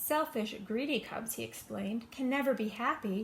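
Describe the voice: The words are read aloud plainly. It is a simple reading of the text.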